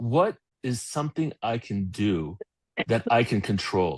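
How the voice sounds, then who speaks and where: Against a quiet background, a man with a medium pitch sounds somewhat breathy, his pitch swinging very widely in a dry, close sound with no echo. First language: Polish. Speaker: company founder and CEO. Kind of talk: motivational talk in online interview. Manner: energetic.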